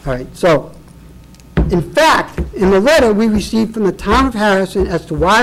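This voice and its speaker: Loud and at a fairly quick pace, a man with a high voice speaks with lively intonation over noticeable background noise. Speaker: property owner appealing assessment. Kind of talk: public hearing testimony. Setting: public board meeting. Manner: animated.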